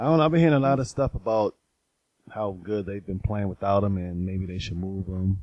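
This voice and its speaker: A man with a plain, everyday voice talks at a fairly quick pace, his fairly low pitch rising and falling in lively intonation. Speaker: co-host sports panelist. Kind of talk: casual sports chat.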